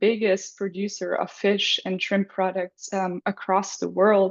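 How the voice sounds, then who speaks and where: A woman's medium-pitched voice at a moderate pace. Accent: German. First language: German. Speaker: graduate student presenter. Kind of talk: presentation. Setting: video call.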